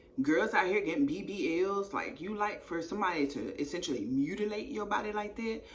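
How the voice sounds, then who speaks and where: Amid noticeable background noise and audible room echo, a woman with an American accent speaks in an animated tone at medium pitch and a fairly quick pace, with lively intonation and hardly any pauses. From East Texas, raised near Shreveport, Louisiana border. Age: 30s. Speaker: YouTuber telling her life story. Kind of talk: casual storytime monologue.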